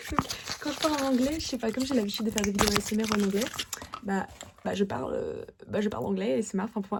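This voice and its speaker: Against noticeable background noise, a woman talks very fast in a fairly high voice with lively intonation, broken by long, frequent pauses. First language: Russian (speaking French). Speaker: ASMR creator. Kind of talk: fast and aggressive ASMR. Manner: repetitive.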